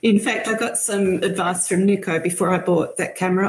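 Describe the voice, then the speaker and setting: A woman with an Australian accent speaks at medium pitch in a somewhat breathy voice. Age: 60s. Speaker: bird photographer. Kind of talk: casual chat.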